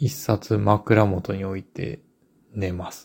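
A man's dark, mellow voice in a very clean recording with a silent background. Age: 40s. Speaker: book editor and publisher. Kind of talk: solo podcast monologue. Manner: halting, many filler words.

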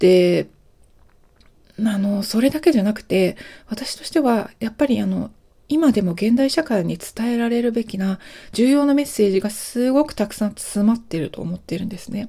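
A woman's fairly high, somewhat breathy voice in a dark, mellow tone, lively in intonation at a moderate pace, with big swings in loudness. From Japan. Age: 40s. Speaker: podcast host. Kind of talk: solo monologue.

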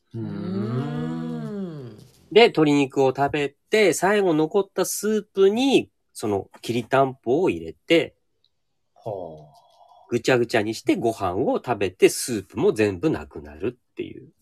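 A man speaks very slowly at a medium pitch, with very wide pitch swings and big swings in loudness. The recording is very clean with a silent background and a dry, close sound with no echo. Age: 50s. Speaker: restaurant owner and chef. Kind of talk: casual interview.

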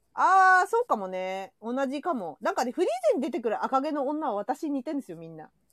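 A woman with a high pitch, an animated tone and a very fast pace, big swings in loudness, very wide pitch swings, and a dry, close sound with no echo. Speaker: podcast host. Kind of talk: casual chat.

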